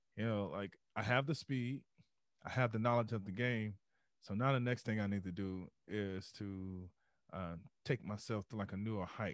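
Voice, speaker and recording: At a moderate pace, a man with a fairly low voice and ordinary pitch variation speaks with long, frequent pauses on a very clean recording with a silent background. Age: 30s. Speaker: former football player, meditation speaker. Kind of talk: interview storytelling. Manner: animated.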